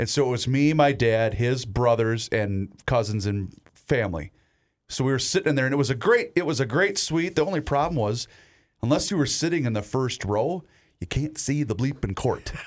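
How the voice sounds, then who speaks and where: A man talks at a moderate pace with a medium pitch and lively intonation in a plain, everyday voice. The recording is very clean with a silent background. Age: 30s. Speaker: sports radio host. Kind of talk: casual chat.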